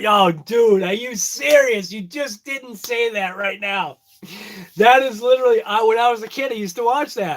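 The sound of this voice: This man has a strong Boston accent and a high pitch. His pace is moderate and his pitch variation ordinary. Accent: heavy Boston accent, dropped Rs.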